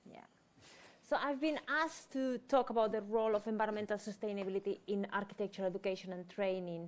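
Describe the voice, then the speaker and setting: A woman with a Spanish accent talks very fast at a medium pitch, her loudness swinging widely while her pitch varies in an ordinary way. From Spain. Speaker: head of architecture department. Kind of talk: panel presentation. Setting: event room with live audience and online viewers.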